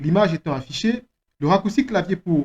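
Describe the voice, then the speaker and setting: At a moderate pace, a man speaks with a non-native accent. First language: not French (speaking French). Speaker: software trainer. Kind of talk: tutorial.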